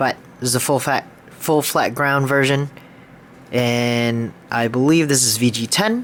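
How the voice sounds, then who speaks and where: Over noticeable background noise, a man speaks at medium pitch with fairly even intonation. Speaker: knife collector video maker. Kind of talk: casual collection show-and-tell. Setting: at home, sitting on the floor. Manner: halting, stumbles over words.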